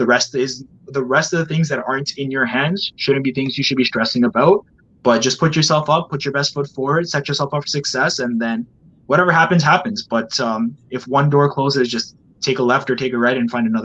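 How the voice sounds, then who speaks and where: At a fairly quick pace, a man with a Canadian accent talks at a fairly high pitch with ordinary pitch variation. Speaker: sports marketing coordinator. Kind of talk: podcast interview. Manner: fast.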